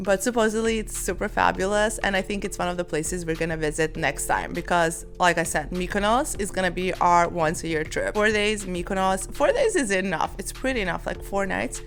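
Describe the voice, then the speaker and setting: A woman with a non-native accent talks at a fairly quick pace, with hardly any pauses. Music plays in the background. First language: not English. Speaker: travel vlogger. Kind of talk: casual sit-down vlog talk. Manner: chatty, filler-heavy.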